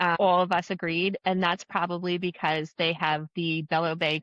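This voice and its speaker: A woman speaks at a moderate pace in a fairly low pitch. The sound is dry and close with no echo, over a quiet background. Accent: slight New Jersey. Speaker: travel agent. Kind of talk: casual chat.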